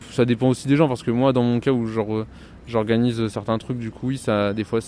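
With fairly even intonation, a man keeps to a medium pitch while talking very fast. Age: 20s. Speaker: student union organizer. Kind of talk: interview.

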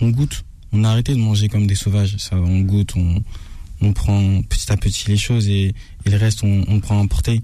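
A man's somewhat breathy, dark, mellow voice, fairly low in pitch, with very even loudness and fairly even intonation. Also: moderate pace. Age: old. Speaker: food influencer. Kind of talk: restaurant review.

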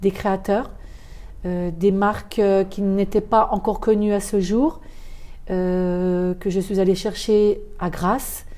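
At a very slow pace, a woman talks in a medium pitch with fairly even intonation. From France, Thonon-les-Bains (Haute-Savoie). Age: 60s. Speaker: perfume shop owner. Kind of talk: interview. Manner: halting, many hesitations.

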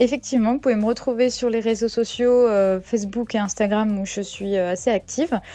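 A woman's fairly high voice with a dark, mellow tone, fairly even intonation and a moderate pace. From Brittany, France (Saint-Malo). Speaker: amateur sailor. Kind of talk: radio interview. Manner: hesitant with fillers.

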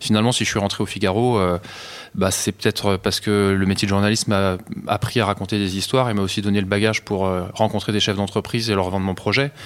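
A man talks very fast at a fairly low pitch, his intonation flat and monotone and his loudness very even. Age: 40s. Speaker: offshore sailor. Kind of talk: interview. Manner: halting.

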